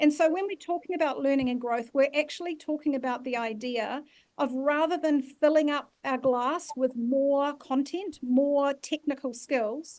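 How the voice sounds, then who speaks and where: With a New Zealand accent, a woman speaks at a high pitch and a moderate pace, using ordinary pitch variation and hardly any pauses over a quiet background. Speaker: leadership facilitator. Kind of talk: online masterclass workshop.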